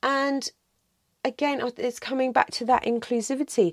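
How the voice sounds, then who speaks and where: The recording is very clean, with a silent background and a dry, close sound with no echo. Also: woman. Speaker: podcast host and movement practitioner. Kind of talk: angry rant, soap-box monologue. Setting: solo podcast recording. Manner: impassioned, indignant, emphatic; conversational, wry, with self-corrections and tangents.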